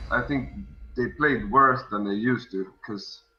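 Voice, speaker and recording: A man with a Swedish accent talks at a moderate pace, his medium pitch showing ordinary variation. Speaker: world champion card game player. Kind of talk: casual interview on stream. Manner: halting, many repeats; calm.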